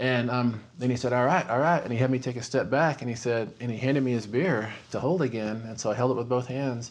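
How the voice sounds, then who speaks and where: A man's medium-pitched voice with a West Texas accent, at a fairly quick pace with ordinary pitch variation. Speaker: horror novelist. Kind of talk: interview storytelling; scripted narration.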